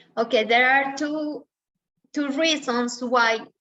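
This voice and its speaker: In a Spanish accent, a woman speaks at a high pitch with a bright, sharp tone. Her pitch varies in an ordinary way. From Colombia. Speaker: dentist. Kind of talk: webinar Q&A answering questions.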